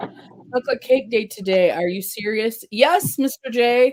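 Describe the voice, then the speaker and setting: A woman's voice with very wide pitch swings, dry and close with no echo. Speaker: makeup and face paint artist. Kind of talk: casual livestream chat. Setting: live stream.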